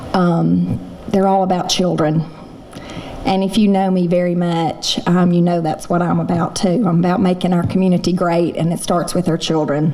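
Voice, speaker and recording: In a Southern US accent, a woman speaks at a moderate pace with a fairly low pitch, monotone, flat intonation and very even loudness. Audible room echo and noticeable background noise surround her. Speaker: roast honoree, local businesswoman. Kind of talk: thank-you speech. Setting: stage with audience.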